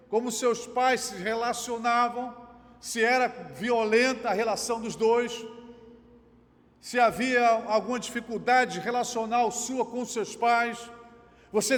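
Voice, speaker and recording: A man's extremely high-pitched voice, monotone and flat, with long, frequent pauses, amid audible room echo and noticeable background noise. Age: 60s. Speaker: pastor. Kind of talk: sermon.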